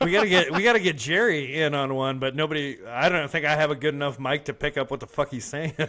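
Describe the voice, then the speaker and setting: Hardly pausing, a man talks at a very fast pace with a fairly high pitch and ordinary pitch variation. Noticeable background noise can be heard. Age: 40s. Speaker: podcast co-host. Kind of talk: casual chat. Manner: casual, profane banter.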